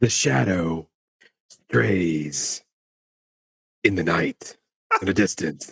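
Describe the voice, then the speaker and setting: In a put-on character voice with a very deep, low pitch, the speaker talks at a very slow pace with long, frequent pauses. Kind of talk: dramatic, epic. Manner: grand, cinematic.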